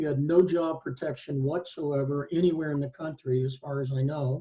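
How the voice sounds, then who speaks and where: A man with an American accent speaks at a fairly high pitch and a moderate pace. His voice is somewhat breathy, with fairly even intonation. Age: 60s. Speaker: law professor and retired attorney. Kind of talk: panel discussion. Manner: halting, many fillers.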